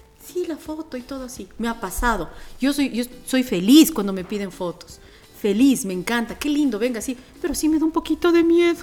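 A woman's high voice with very wide pitch swings at a fairly quick pace, over music in the background. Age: 40s. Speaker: radio host and voiceover artist. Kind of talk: casual podcast interview. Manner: animated.

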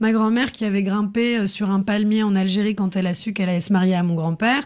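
On a very clean recording with a silent background, a woman of medium pitch speaks at a very fast pace with ordinary pitch variation. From France. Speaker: film director and actress. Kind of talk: radio interview. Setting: studio.

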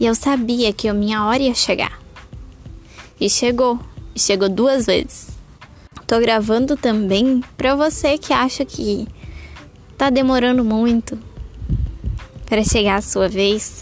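Speaking at a fairly slow pace, a woman uses a fairly high pitch with very even loudness. She takes long, frequent pauses. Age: 20s. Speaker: mother podcaster. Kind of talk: casual monologue.

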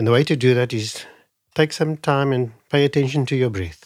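With ordinary pitch variation and a moderate pace, a man is heard on a very clean recording against a silent background. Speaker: Ayurvedic doctor. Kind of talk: interview.

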